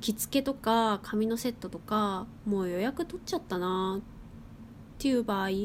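A woman speaks at a moderate pace with a fairly high pitch and ordinary pitch variation. Hers is an unremarkable speaking voice. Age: 20s. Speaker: podcast host. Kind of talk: casual monologue. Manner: casual.

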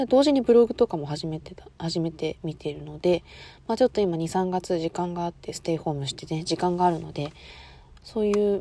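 A woman with a dark, mellow tone and a fairly low pitch speaks at a fairly quick pace, with lively intonation and big swings in loudness. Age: 20s. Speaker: student podcaster. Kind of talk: casual monologue.

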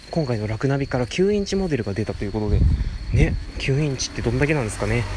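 A man talks very fast at a medium pitch, with noticeable background noise behind him. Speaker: podcast host. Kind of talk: casual solo talk. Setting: outdoors, walking by a road.

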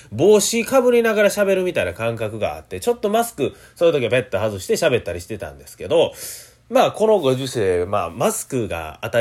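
In a Kansai accent, a man talks at a fairly quick pace in an animated tone. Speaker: rakugo performer hosting a solo radio talk show. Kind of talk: solo podcast monologue. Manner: fast near the end.

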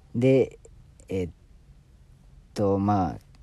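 With a slight Osaka accent, a man speaks in a dark, mellow tone at a fairly low pitch, recorded very cleanly with a silent background. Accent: Kansai (Osaka) accent, slight. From Osaka, Japan. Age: 30s. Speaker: pharmaceutical sales rep and new podcaster. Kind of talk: casual solo self-introduction podcast.

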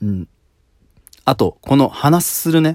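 A man's dark, mellow voice with very wide pitch swings, dry and close with no echo, in a very clean recording with a silent background. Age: 30s. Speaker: solo podcaster. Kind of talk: casual solo monologue. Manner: many filler words like um; calm.

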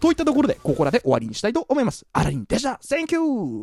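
A man speaks at an extremely high pitch in an animated tone. The sound is dry and close, with no echo. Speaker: solo podcaster. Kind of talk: casual monologue. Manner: fast; animated, laughing.

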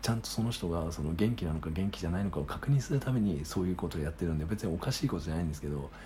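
A man's very deep, low voice at a very fast pace, with very wide pitch swings and hardly any pauses. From Japan, Sagamihara (Kanagawa). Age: 30s. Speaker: podcaster. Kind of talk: solo casual monologue. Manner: halting, many fillers.

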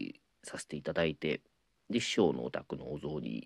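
With vocal fry at a moderate pace, the voice comes through with a dry, close sound and no echo. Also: man. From Ehime, Shikoku, Japan. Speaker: apprentice rakugo storyteller. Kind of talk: casual solo talk answering listener mail. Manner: many filler words (えー, あの).

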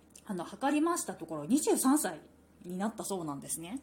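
Noticeable background noise runs under the clip. A woman speaks with very wide pitch swings. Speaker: podcast host. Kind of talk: book review monologue.

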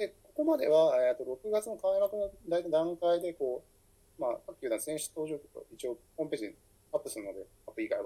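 A fairly quick pace with big swings in loudness. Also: man. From Fukuoka, Japan. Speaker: writer and editor. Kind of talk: solo podcast monologue. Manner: halting, many fillers.

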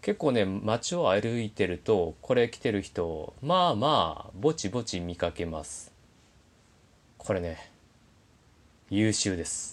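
Lively intonation comes through at a fairly slow pace on a very clean recording with a silent background. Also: man. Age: 30s. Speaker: podcaster. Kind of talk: casual monologue.

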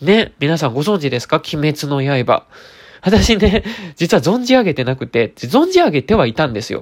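The man's pitch is fairly high with very wide swings. He keeps a moderate pace. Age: 30s. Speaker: beauty expert and radio host. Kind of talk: casual solo chat. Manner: frequent filler words, meandering; gentle, polite.

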